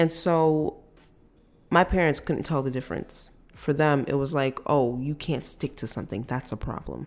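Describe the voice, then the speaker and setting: On a very clean recording with a silent background, a woman speaks at a moderate pace. Her pitch is very deep and low, with ordinary variation. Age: 30s. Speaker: solo podcast host. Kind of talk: personal monologue. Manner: casual, conversational.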